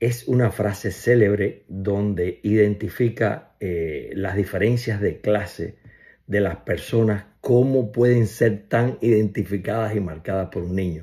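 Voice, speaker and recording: Against a quiet background, a man with a fairly low pitch and a dark, mellow, somewhat breathy tone speaks at a fairly slow pace with fairly even intonation. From Cuba. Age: 60s. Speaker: family member giving tribute. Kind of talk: personal video message. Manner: casual, hesitant with fillers. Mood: warm, fond, reminiscing. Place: home room.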